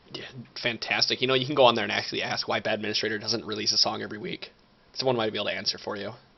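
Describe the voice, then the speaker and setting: A man with a Michigan accent talks at a very fast pace, his fairly low-pitched voice keeping fairly even intonation. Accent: Michigan accent, described as whiny. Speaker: podcast co-host. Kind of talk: casual chat.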